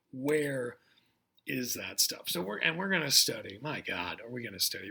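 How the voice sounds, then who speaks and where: Vocal fry at a moderate pace. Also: man. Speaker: college geography instructor. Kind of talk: recorded online lecture. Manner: casual, filler-heavy.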